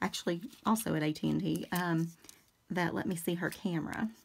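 Her voice is a plain, everyday voice, fairly low in pitch, as the woman talks at a moderate pace. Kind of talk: casual craft tutorial chat. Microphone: phone near.

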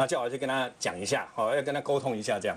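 A man at a very fast pace. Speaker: TV talk show panelist. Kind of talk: TV panel discussion. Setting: studio. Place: studio. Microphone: lapel.

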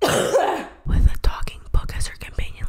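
Whispering, a woman speaks with an American accent. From Atlanta, Georgia, USA. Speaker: YouTuber and ASMR vlogger. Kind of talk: casual talk to camera. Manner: upbeat, chatty. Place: home room. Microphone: studio mic.

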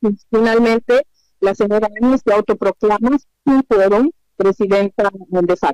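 With an ordinary speaking voice, a woman talks at a fairly slow pace with a fairly high pitch, ordinary pitch variation and very even loudness, recorded dry and close with no echo. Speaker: former government minister. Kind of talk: interview.

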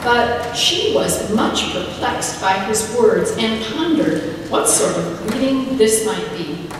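The speech moves at a very slow pace, with strong room echo and noticeable background noise. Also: woman. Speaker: pastor preaching. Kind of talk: sermon. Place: church.

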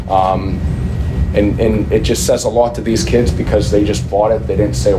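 Loud background noise fills the clip. Over it, a man speaks fairly quickly. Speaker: head football coach. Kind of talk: press conference answer. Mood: proud, emotional after a win. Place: meeting room. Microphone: podium.

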